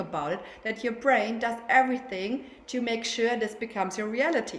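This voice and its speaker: A woman with a German accent, fairly high pitch and a fairly quick pace, over noticeable background noise. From Germany. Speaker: sleep consultant. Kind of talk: casual interview. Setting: video call.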